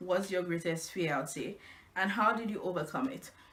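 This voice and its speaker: A woman's voice over noticeable background noise. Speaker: blogger. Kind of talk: casual vlog. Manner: halting, with fillers.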